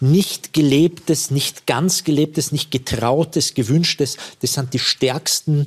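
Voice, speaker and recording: Somewhat breathy, a man talks at a fairly high pitch. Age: 50s. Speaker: actor. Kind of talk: talk show interview.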